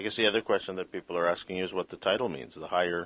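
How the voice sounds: A fast-paced man's voice, low in pitch and fairly bright, with ordinary pitch variation.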